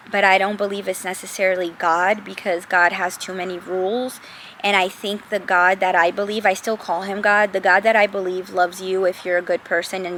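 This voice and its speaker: A woman speaks at a moderate pace in a medium pitch, her intonation monotone and flat, with noticeable background noise. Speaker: lifestyle vlogger. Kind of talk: casual monologue vlog. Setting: outdoors, then moves closer to camera.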